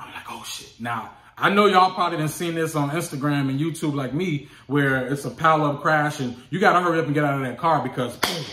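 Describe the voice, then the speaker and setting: Audible room echo surrounds a man speaking at a fairly quick pace and a fairly high pitch, with ordinary pitch variation. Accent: American. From Chicago, US. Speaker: hotshot truck driver and vlogger. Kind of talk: casual vlog storytelling. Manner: animated.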